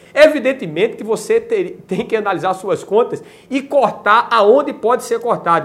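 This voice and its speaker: With a Brazilian accent, a man talks at a moderate pace, his pitch swinging very widely. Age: 40s. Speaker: YouTuber. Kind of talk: video monologue on politics.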